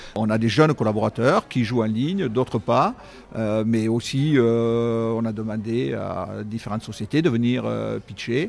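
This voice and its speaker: On a very clean recording with a silent background, a man speaks at a fairly slow pace. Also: medium pitch for a man, ordinary pitch variation. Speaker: company CEO. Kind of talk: interview. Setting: on location at an esports venue.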